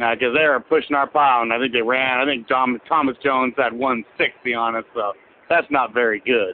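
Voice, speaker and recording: An unremarkable speaking voice belongs to this man, who talks with an American accent at medium pitch, with fairly even intonation and a moderate pace. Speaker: caller. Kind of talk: phone-in message. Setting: phone call.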